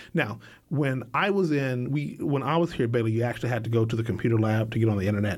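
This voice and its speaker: A man with an American accent, a plain, everyday voice, medium pitch and lively intonation. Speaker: filmmaker. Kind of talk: casual interview. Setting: studio.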